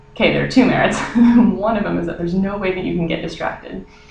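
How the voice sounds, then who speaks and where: Speech moves at a fairly quick pace with ordinary pitch variation. Audible room echo and noticeable background noise accompany it. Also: woman. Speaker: vlogger. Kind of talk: casual vlog. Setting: small wooden room indoors. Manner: lowered voice.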